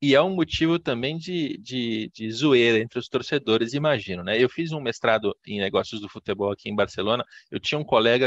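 Ordinary pitch variation runs through this man's normal speaking voice. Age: 30s. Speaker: podcast host, sports business journalist. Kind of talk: interview.

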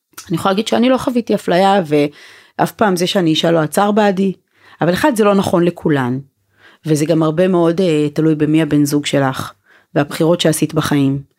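A woman with a plain, everyday voice speaks at a fairly quick pace in a fairly low pitch, with ordinary pitch variation and very even loudness, on a very clean recording with a silent background. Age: 40s. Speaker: women's organization founder and spokesperson. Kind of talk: casual chat.

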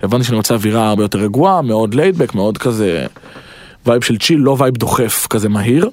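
Talking at a very fast pace, a man with a medium-pitched voice shows ordinary pitch variation. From Israel, Petah Tikva. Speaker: rapper. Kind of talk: casual interview, storytelling.

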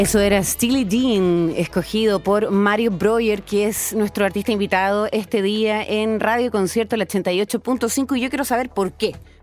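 Fairly slow and with hardly any pauses, a woman talks in a plain, everyday voice, fairly high in pitch, with fairly even intonation and very even loudness. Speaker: radio host. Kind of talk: radio interview.

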